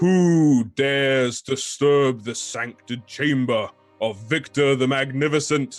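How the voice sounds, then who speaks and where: A man puts on a character voice at a medium pitch. He speaks at a fairly slow pace with music in the background. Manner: grand, imposing.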